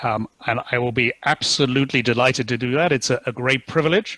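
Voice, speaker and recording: A man's medium-pitched voice in a British accent, bright and sharp, fairly quick, with fairly even intonation and a dry, close sound without echo. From UK. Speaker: company CEO. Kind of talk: webinar talk.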